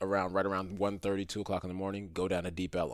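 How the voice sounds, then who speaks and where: Fairly low-pitched male speech on a very clean recording, background silent. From New York. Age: 30s. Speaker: rideshare driver. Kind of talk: casual chat. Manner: halting.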